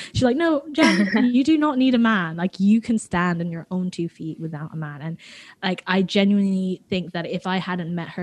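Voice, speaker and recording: A woman with an American accent, medium pitch, moderate pace and lively intonation, against a quiet background. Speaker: podcast co-host. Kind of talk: casual chat.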